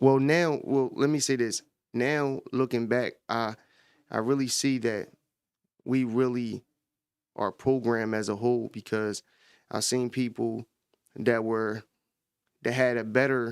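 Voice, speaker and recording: A man talks at a very slow pace, leaving long, frequent pauses. His intonation is fairly even, and the recording is very clean with a silent background. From Camden, New Jersey (US). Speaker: podcast host. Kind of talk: casual commentary. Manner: halting, many fillers.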